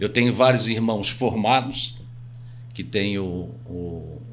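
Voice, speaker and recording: A man's voice, with ordinary pitch variation, carries an audible room echo. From Itajaí, Santa Catarina, southern Brazil. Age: 60s. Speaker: real estate agent. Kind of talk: podcast interview.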